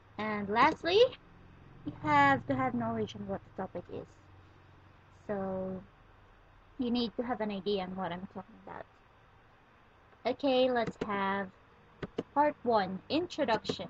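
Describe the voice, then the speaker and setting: A woman with a non-native accent, medium pitch and very wide pitch swings, somewhat breathy, at a fairly slow pace with long, frequent pauses and big swings in loudness. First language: not English. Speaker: student tutorial maker. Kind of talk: tutorial.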